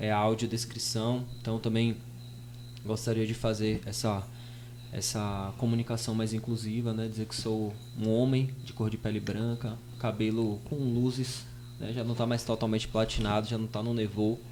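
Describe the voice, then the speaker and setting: A man at a medium pitch and moderate pace, in a monotone, flat intonation. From Brazil, Bahia sertão (Piritiba). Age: 20s. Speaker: rapper and radio host, podcast guest. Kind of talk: podcast interview.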